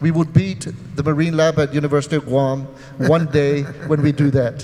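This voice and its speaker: Noticeable background noise runs under a man with a fairly high pitch. He talks at a fairly quick pace in monotone, flat intonation, with very even loudness. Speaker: gubernatorial candidate. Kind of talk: political debate. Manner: fast.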